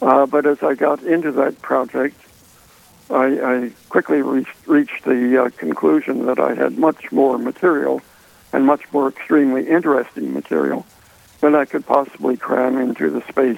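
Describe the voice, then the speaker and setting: Over noticeable background noise, a man speaks at a fairly slow pace in a dry, close sound with no echo. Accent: American. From Washington, D.C. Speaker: author. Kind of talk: radio interview. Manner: halting.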